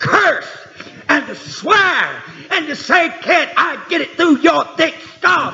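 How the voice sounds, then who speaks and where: Noticeable background noise sits behind this recording. A man with a Southern US accent speaks at a very slow pace. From Tennessee. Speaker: preacher. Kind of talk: sermon. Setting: church.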